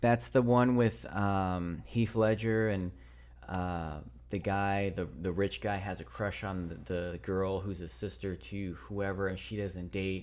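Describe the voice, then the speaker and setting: A man talks at a fairly slow pace with a very deep, low pitch. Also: ordinary pitch variation. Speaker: podcast host. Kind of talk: casual chat. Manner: animated.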